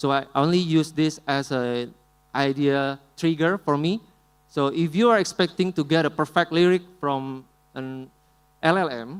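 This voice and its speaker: A man with an Indonesian accent speaks at a fairly slow pace. The recording is very clean, with a silent background. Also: fairly high pitch for a man, ordinary pitch variation. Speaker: musician. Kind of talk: conference talk with live demo.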